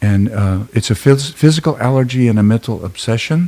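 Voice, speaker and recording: A man speaks at a moderate pace with an American accent. His tone is dark and mellow. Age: 70s. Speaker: therapist and Vietnam veteran. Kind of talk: testimony. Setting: live stream. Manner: halting, many fillers.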